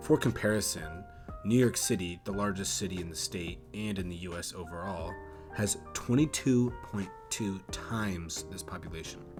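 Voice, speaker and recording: Over music in the background, a man with a very deep, low pitch talks at a moderate pace with ordinary pitch variation. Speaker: geography YouTuber. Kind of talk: documentary-style city narration.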